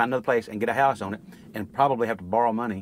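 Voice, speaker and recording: A man with an East Texas accent is recorded with a dry sound, no echo, and light background noise. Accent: East Texas Southern US. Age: 50s. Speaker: rural landowner. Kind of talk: casual chat. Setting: outdoors. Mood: worried, earnest. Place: open country. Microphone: lapel.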